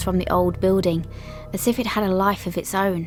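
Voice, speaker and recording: Music plays behind a voice speaking at a fairly slow pace. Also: woman. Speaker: podcast host. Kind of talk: ghost story narration.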